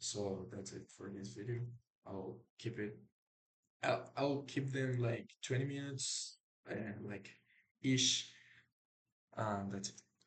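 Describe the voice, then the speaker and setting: Speaking with a non-native accent, a man uses a medium pitch, ordinary pitch variation and a somewhat breathy sound. His pace is very slow, broken by long, frequent pauses. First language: not English. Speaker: programmer vlogger. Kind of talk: coding screencast. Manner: halting.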